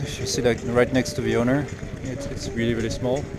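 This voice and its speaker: Speaking very fast with a French accent, a man delivers his words in a flat monotone. Noticeable background noise runs behind him. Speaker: car enthusiast vlogger. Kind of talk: casual walkaround video report. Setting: outdoors at a car show. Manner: casual, hesitant with fillers.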